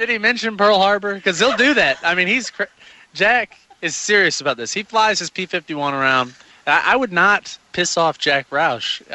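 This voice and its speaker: With noticeable background noise behind him, a man speaks at a high pitch with lively intonation. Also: moderate pace. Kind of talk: casual chat.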